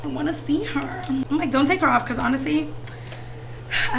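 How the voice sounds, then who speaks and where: Noticeable background noise and audible room echo accompany an animated tone. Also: woman. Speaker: beauty vlogger. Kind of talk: casual chat. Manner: fast.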